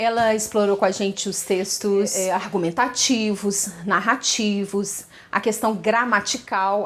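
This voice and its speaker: A woman with a medium pitch talks fairly slowly. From Minas Gerais, Brazil. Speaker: teacher. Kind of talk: personal story told to camera. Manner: conversational, with filler hesitations.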